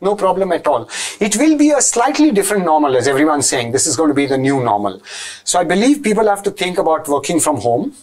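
A man talks very fast in a high pitch, with very wide pitch swings and very even loudness, over a quiet background. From Goa, India; India. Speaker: IT entrepreneur; interview guest. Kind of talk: interview. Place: studio.

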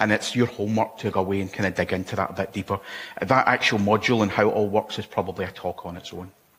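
Flat and monotone, the voice carries a Scottish accent. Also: man, fairly low pitch for a man. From Scotland. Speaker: conference speaker. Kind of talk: technical conference talk. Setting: stage with audience. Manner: fast. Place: hall.

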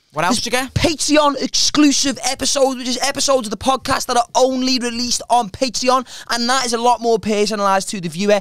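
Music plays behind a man with a British accent and an extremely high pitch, the sound dry with no echo. He talks very fast with hardly any pauses and ordinary pitch variation. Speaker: comedian podcast host. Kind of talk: casual chat. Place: studio. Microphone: studio mic.

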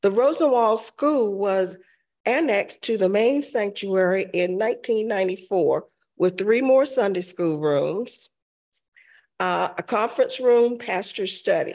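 Her pitch is medium, with ordinary variation. The woman talks at a fairly slow pace in a slightly mellow tone.

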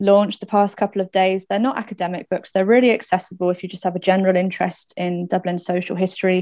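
A woman's dark, mellow tone at a fairly quick pace, with fairly even intonation, hardly any pauses and a quiet background. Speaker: event moderator. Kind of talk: event introduction and Q&A moderation. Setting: video call. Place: home room. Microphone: webcam.

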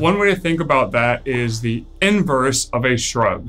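The speaker is a man. Faint music plays in the background. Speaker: strength coach. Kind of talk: tutorial. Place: gym.

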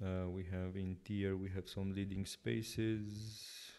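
A man speaking in a monotone, flat intonation, low-pitched with vocal fry and a slightly mellow tone

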